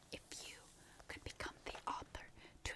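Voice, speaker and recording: Playful whispering. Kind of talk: ASMR roleplay whispered questioning for relaxation and sleep. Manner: whispered, playful.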